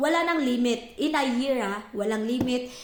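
Amid noticeable background noise and audible room echo, a woman speaks at a moderate pace with a high pitch. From Philippines. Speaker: vlogger. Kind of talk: casual chat.

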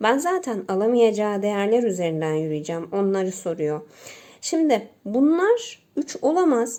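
Speaking at a fairly slow pace, a woman with a dark, mellow tone swings her pitch very widely. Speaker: math teacher. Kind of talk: tutorial.

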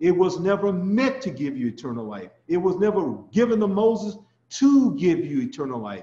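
Audible room echo around a man's voice. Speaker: ministry teacher. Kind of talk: sermon. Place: home room. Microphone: webcam.

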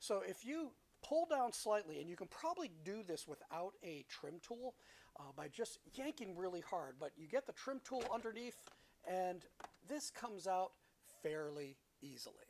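With light background noise behind her, a woman speaks at a moderate pace, her pitch swinging very widely. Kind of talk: tutorial. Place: car. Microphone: phone near.

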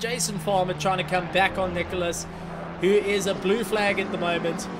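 A man with a high pitch and an excited, animated tone at a moderate pace, amid noticeable background noise. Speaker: race commentator. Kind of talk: live race commentary. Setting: commentary box. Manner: excited, animated, fluent play-by-play.

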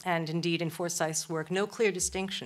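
A woman is speaking. Her intonation stays monotone and flat. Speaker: lecturer. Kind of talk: lecture. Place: stage. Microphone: podium.

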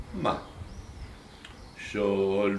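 Audible room echo and light background noise around a male speaker. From southern Tuscany, San Casciano dei Bagni; Tuscany, Italy. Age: 70s. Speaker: retired laborer and folk storyteller; local storyteller. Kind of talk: interview. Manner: terse. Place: home room.

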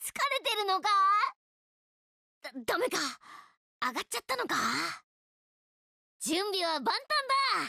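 A woman's cartoonish character voice, extremely high-pitched, at a moderate pace with long, frequent pauses. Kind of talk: video game character lines. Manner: cocky, upbeat.

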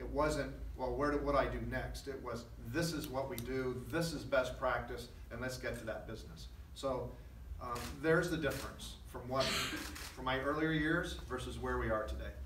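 Male voice, moderate pace, background noise clearly noticeable. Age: 50s. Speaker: school superintendent. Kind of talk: press conference. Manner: halting. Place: meeting room. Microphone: podium.

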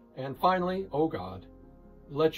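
Faint music plays in the background. A man talks at a moderate pace with lively intonation. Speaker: pastor. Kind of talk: sermon summary delivered as a short devotional message.

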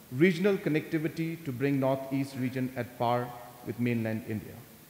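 A man speaks with ordinary pitch variation. Room echo is audible. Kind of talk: formal speech. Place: hall. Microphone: podium.

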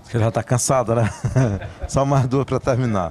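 A man talks at a fairly quick pace in an unremarkable speaking voice. His pitch is medium. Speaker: interviewer. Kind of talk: casual interview.

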